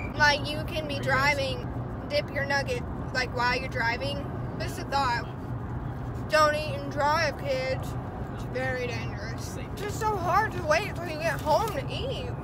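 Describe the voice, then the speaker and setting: A fairly slow pace amid loud background noise. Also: woman. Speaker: vlogger. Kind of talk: casual vlog talk to camera. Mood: playful, chatty. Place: car. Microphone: phone near.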